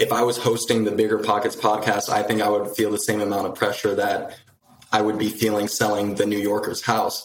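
A man speaks at a fairly quick pace. His fairly low voice stays flat and monotone. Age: 20s. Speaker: real estate agent. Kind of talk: live coaching call.

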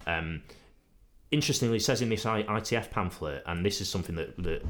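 A man with vocal fry, lively intonation and a moderate pace. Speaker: podcast host. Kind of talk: casual chat. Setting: studio.

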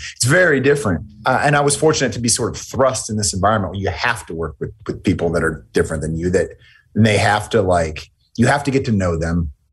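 Somewhat breathy and with an American accent, this voice moves at a fairly quick pace with lively intonation. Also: man. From United States. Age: 40s. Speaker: military veteran. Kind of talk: interview conversation.

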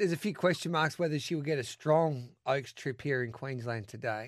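Against a quiet background, a man with an Australian accent speaks at a moderate pace with lively intonation. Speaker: radio host. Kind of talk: live radio racing show. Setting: radio studio. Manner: energetic, chatty.

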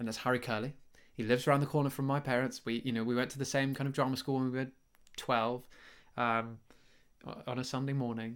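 Very fast but broken by long, frequent pauses, a man's speech stays monotone and flat in a very clean recording with a silent background. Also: medium pitch for a man. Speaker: podcast host and actor. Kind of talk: casual chat. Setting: at home. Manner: halting, many fillers; quiet, keeping voice down.

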